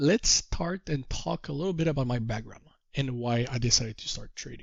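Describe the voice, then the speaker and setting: With a slight French Canadian accent, a man speaks at a fairly high pitch. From Quebec. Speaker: trader and course teacher. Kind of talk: course introduction talk. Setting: call.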